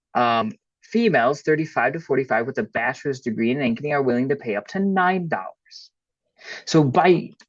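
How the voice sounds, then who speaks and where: A man's ordinary speaking voice, fairly high in pitch and fairly quick, with lively intonation over a quiet background. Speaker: workshop presenter. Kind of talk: webinar presentation.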